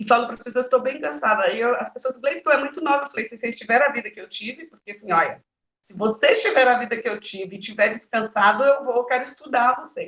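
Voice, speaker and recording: The speech races along at a very fast pace with hardly any pauses, lively intonation and big swings in loudness. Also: woman, high pitch for a woman. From Brazil, Bahia (Vitória da Conquista). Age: 40s. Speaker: politician and women's rights activist. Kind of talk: interview.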